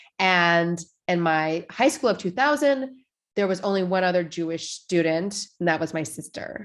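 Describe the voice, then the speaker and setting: She has an unremarkable speaking voice, fairly low in pitch for a woman. The pace is moderate and the intonation lively. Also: very clean recording, silent background. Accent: American. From Washington state, US Pacific Northwest. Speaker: rabbi. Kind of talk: casual conversation.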